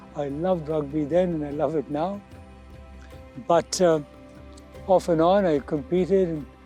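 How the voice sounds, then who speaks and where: Over music in the background, a fairly high-voiced man speaks slowly-ish with fairly even intonation and long, frequent pauses. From India. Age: 70s. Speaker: teacher and masters athlete. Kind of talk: interview answer.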